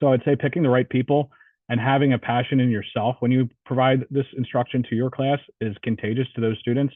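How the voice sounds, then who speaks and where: Speaking at a fairly quick pace in a New Jersey accent, a man with a medium pitch keeps a monotone, flat intonation and very even loudness. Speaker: police officer and instructor. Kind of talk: Q&A answer in online training session.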